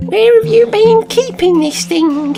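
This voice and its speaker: Against clear music in the background, a put-on character voice speaks fairly slowly at a fairly high pitch. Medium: read story. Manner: dry, teasing.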